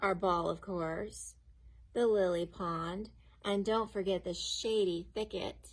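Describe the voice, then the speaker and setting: A woman does a rumbling put-on character voice at medium pitch, keeping a fairly even intonation and a fairly slow pace. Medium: read story. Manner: grumbling.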